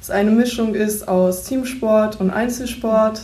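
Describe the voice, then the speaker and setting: A woman's fairly high, somewhat breathy voice at a very slow pace, monotone and flat in intonation, with audible room echo. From East Frisia, northern Germany. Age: 18. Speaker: bank trainee. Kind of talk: self-introduction and interview.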